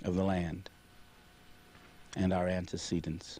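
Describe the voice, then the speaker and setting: A man's very deep, low voice with an American accent, a dark, mellow tone and a fairly slow pace. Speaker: alumnus telling school history. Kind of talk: interview.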